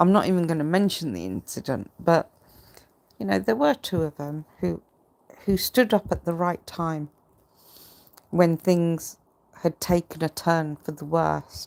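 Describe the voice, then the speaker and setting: Pausing long and often, a woman speaks at a fairly slow pace in a dry, close sound with no echo. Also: lively intonation. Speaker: YouTuber doing a livestream. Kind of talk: casual live-stream monologue. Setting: live stream at night, home. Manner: halting, many pauses and fillers.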